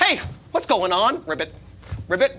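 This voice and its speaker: A man in a put-on character voice, high-pitched, at a moderate pace, over clear background noise. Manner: comical.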